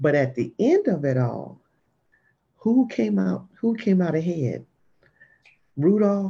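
A woman with an American accent speaks very slowly with long, frequent pauses and very wide pitch swings. Her very deep, low voice is somewhat breathy, with a dark, mellow tone. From Jacksonville, Florida. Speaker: business owner. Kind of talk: casual panel chat.

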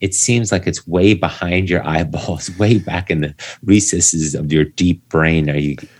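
With noticeable background noise behind him, a man with a very deep, low pitch speaks fairly slowly, using ordinary pitch variation. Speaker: endurance coach; podcast guest. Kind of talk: conversational, reflective. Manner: calm, relaxing enough to fall asleep to.

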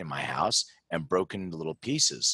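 Here is a man with an American accent and an ordinary speaking voice. He talks at a moderate pace with lively intonation, in a dry, close sound with no echo. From Philadelphia, US. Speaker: genetics company founder. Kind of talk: interview.

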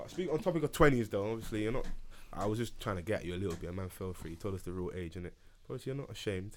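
Talking at a very fast pace in a London accent, a man with a fairly low pitch uses lively intonation. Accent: London Multicultural English. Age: 20s. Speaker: podcast host. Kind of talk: casual chat. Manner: animated.

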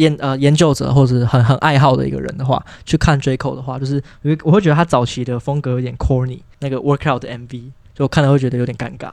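A man at a very fast pace, medium pitch and fairly even intonation. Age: young. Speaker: podcast guest, young hip hop fan. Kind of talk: casual chat.

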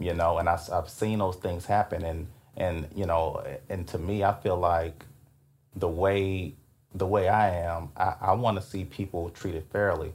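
Somewhat breathy, a man with a Louisiana accent speaks at a fairly slow pace with a very deep, low pitch and monotone, flat intonation. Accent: Louisiana Southern. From Louisiana, Alexandria (Rapides Parish). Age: 30s. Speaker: former prosecutor and DA candidate. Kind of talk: interview. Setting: hotel room.

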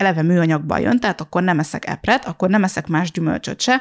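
In a very clean recording with a silent background and a dry, close sound with no echo, a woman with an ordinary speaking voice talks at a fairly quick pace, her fairly low pitch carried by lively intonation. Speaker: podcast host and blogger. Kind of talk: casual chat. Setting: living room at home.

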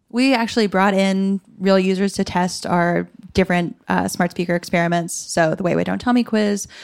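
Moderate pace with hardly any pauses, fairly even intonation and very even loudness, on a very clean recording with a silent background. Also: woman, medium pitch for a woman. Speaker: product designer. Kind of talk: live panel discussion. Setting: stage with audience at a conference.

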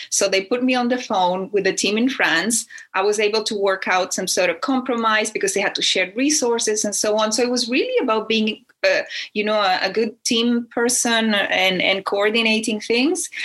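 The speaker has a Spanish accent and a moderate pace. Pitch varies in an ordinary way, and loudness stays very even. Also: woman. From Chile. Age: 50s. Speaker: speaker, writer, and tertulia host. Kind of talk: casual interview.

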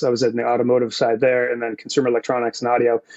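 This man speaks with an American accent. His pitch is medium. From Massachusetts. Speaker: audio engineer. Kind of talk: casual interview. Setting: video call.

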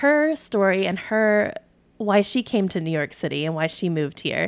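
In a very clean recording with a silent background, a woman with an ordinary speaking voice talks at a fairly quick pace and medium pitch. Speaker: podcast host. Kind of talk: casual interview chat.

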